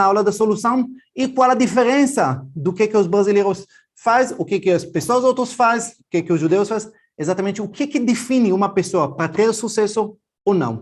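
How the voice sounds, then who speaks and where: This man's voice sits high in pitch, keeping ordinary pitch variation at a moderate pace. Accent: Israeli. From Israel. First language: Hebrew (speaking Portuguese). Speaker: financial educator. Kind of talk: online class.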